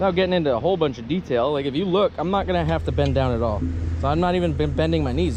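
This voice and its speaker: A man with an American accent talks very fast, with audible room echo and noticeable background noise. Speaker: firewood logger, YouTuber. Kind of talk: product review demonstration. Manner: rambling, conversational.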